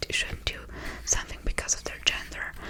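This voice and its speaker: A woman whispers. Noticeable background noise is present. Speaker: ASMR creator. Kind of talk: ASMR whispered ramble to camera. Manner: whispered, soft-spoken.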